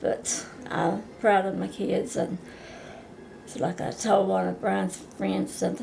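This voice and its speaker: A woman talks rather slowly. Audible room echo and noticeable background noise accompany her voice. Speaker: grandmother being interviewed. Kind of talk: casual family interview.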